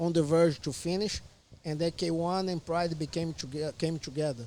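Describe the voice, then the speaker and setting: At a fairly slow pace, a man speaks with a Portuguese accent. His voice is high, with fairly even intonation. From Brazil. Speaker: MMA fighter. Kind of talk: casual chat.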